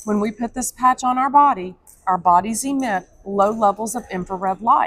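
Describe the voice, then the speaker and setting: Speaking with an American accent, a woman has an ordinary speaking voice and a fairly high pitch. Her pace is moderate and her pitch variation ordinary. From Texas. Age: 50s. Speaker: product representative. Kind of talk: sales pitch. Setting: convention hall.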